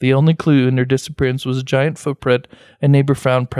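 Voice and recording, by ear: The speaker is reading aloud in a natural voice.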